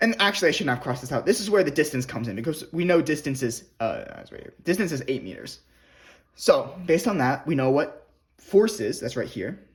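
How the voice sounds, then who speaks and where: In a very clean recording with a silent background, a man with a somewhat breathy, fairly high voice talks at a fairly quick pace, with very wide pitch swings and big swings in loudness. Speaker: physics tutor. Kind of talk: tutorial.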